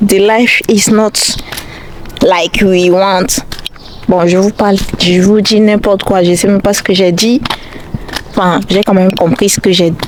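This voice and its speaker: A woman's fairly slow delivery with long, frequent pauses and noticeable background noise. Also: medium pitch for a woman, very even loudness. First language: not French (speaking French). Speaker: YouTuber, student. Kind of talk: vlog monologue. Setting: outdoors, walking. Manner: halting.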